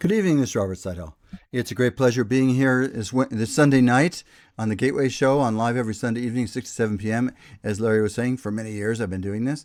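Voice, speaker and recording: Over a silent background on a very clean recording, a man speaks very fast at a medium pitch with ordinary pitch variation. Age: 70s. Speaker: radio talk show host and lawyer. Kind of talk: radio interview chat. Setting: radio studio, also streamed live on Facebook. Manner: halting, many restarts.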